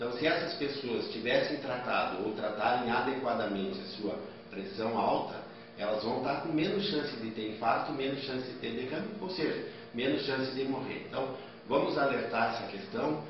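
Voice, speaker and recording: Amid noticeable background noise and strong room echo, a man talks at a moderate pace. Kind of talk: health advice statement for TV news. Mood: calm, serious, advising. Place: office.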